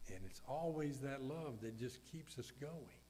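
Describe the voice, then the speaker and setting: There is audible room echo as a man with a Southern US accent speaks at a moderate pace and fairly high pitch, varying his pitch in an ordinary way. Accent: Southern US (Georgia). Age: 70s. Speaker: pastor. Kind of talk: funeral sermon.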